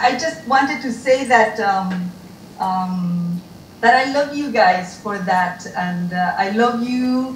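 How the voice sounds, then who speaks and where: Speaking at a very slow pace, a woman uses ordinary pitch variation. Light background noise and audible room echo are present. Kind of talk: reflective remarks at a reunion. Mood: warm, grateful, emotional. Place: home room.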